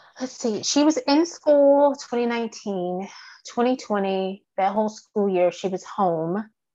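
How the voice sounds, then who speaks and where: Against a quiet background, someone with an American accent speaks very slowly with lively intonation. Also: woman, fairly high pitch for a woman. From Virginia. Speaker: graduate student and mother. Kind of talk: oral history interview.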